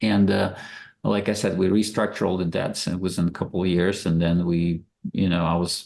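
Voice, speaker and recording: With a Russian accent, a man speaks at a fairly quick pace in a very deep, low pitch and fairly even intonation. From Russia, Moscow. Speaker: real estate investor. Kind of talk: podcast interview.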